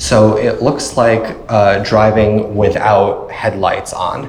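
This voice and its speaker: A man with a Long Island accent speaks over noticeable background noise. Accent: Long Island New York. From Long Island, New York. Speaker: political consultant and startup co-founder. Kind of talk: technical talk presentation.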